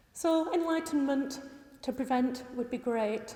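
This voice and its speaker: A woman speaks with high pitch. Noticeable background noise is heard. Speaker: campaigner. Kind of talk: presentation. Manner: passionate.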